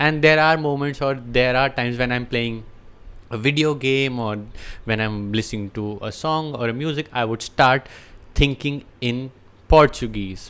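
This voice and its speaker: A man speaks at a medium pitch with an Indian accent and ordinary pitch variation. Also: moderate pace. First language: Hindi. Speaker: language teacher. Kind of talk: unscripted talk to camera.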